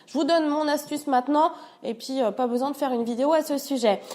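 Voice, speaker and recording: A woman with a high pitch talks at a fairly quick pace with ordinary pitch variation. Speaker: home cleaning youtuber. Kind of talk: tutorial. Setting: at her parents' home. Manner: stutter, many hesitations; casual, hesitant.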